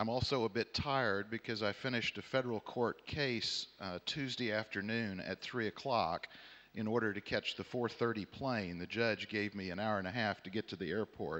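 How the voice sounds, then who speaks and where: With a Southern US accent, a man with a fairly low, bright and sharp voice talks at a moderate pace with hardly any pauses and ordinary pitch variation, on a very clean recording with a silent background. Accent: American Southern. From Texas, Houston. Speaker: panel chair, arbitration lawyer. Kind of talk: conference panel introduction. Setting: conference hall with audience.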